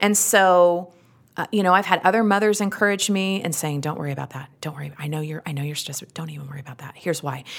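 On a very clean recording with a silent background, a woman speaks very fast at a fairly low pitch with ordinary pitch variation and big swings in loudness. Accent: American. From Utah, US. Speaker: actress, comedian and podcast host. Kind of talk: casual interview chat.

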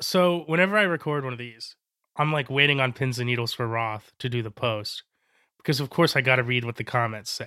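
In a very clean recording with a silent background, a man with an American accent speaks at a fairly quick pace in a medium pitch with ordinary pitch variation, an unremarkable speaking voice. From Florida. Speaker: sports writer. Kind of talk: casual chat.

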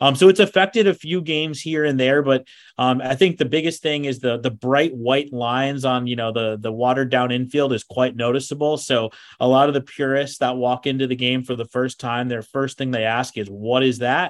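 At a fairly quick pace, a man speaks in an ordinary speaking voice with medium pitch and ordinary pitch variation. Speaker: baseball broadcaster. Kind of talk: casual interview chat.

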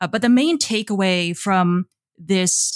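A woman with an ordinary speaking voice, medium pitch and lively intonation, in a very clean recording with a silent background. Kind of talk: interview.

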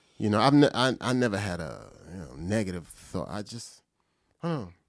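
A man with an American accent talks fairly quickly at a fairly low pitch, his voice swinging very widely in pitch. There is vocal fry, and the recording is very clean with a silent background. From New Jersey. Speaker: comedian and podcast host. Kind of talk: casual chat.

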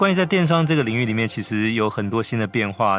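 On a very clean recording with a silent background, a man with a plain, everyday voice speaks at fairly low pitch and a fairly quick pace. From Taiwan. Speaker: podcast host, magazine editor-in-chief. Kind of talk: interview.

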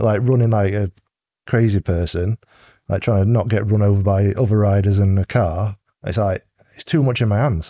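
A man's fairly low, dark, mellow voice at a moderate pace, dry and close with no echo, over a quiet background. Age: 30s. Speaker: cycling team mechanic. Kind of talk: casual chat.

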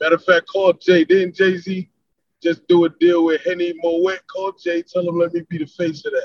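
A man with a New York accent speaks at a high pitch. His intonation is monotone and flat, at a moderate pace. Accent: northern US (New York). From South Florida, born in New York. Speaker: rapper. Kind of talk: casual interview chat.

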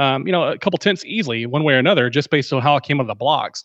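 A very fast-talking man with an American accent and ordinary pitch variation. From Texas, Dallas area. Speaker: fantasy football analyst. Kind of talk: casual chat.

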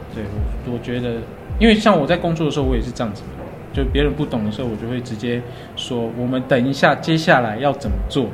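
Over music in the background and audible room echo, a man speaks at a very fast pace. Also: medium pitch for a man, ordinary pitch variation. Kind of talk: casual interview.

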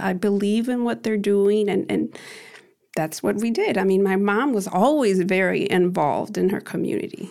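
A woman with an ordinary speaking voice talks at a medium pitch and moderate pace. Her pitch varies in an ordinary way and her loudness stays very even. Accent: American. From US Midwest, Chicago. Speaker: activist and event organizer. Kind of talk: interview.

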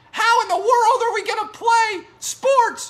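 In a put-on character voice pitched extremely high, the speaker whines in a panicked tone at a fairly slow pace. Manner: whiny, panicked.

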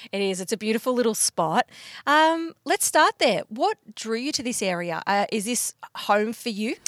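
A woman with an Australian accent speaks with very wide pitch swings in a dry, close sound with no echo. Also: fairly high pitch for a woman, moderate pace. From Bendigo, Victoria, Australia. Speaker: podcast host and magazine editor. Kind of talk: casual interview. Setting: podcast van by a lake.

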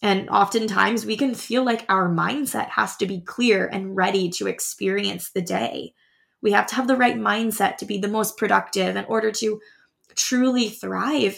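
Over a very clean recording with a silent background, a woman speaks in a warm tone. Her pace is moderate. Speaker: podcast host and high school teacher. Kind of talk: heartfelt motivational pep talk addressed directly to the listener. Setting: studio. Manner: warm, earnest and reassuring, piling up affirmations; gently urging, repetitive exhortations like a cheering friend.

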